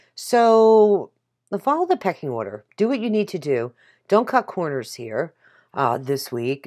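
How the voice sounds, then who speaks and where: Pitch swings very widely at a fairly slow pace. The recording is very clean, with a silent background. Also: woman, medium pitch for a woman. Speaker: tarot reader. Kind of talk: tarot reading video. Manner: casual, chatty.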